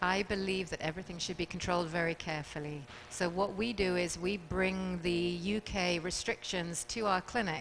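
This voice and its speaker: A woman with a British accent speaks at a moderate pace with fairly low pitch. Her intonation stays fairly even. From England. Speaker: fertility clinic doctor. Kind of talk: talk show interview.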